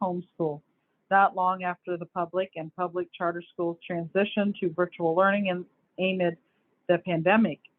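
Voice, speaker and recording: Her intonation monotone and flat, a woman with a medium pitch speaks at a moderate pace. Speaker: education show host. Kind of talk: reading news articles aloud. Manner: halting, with stumbles and self-corrections.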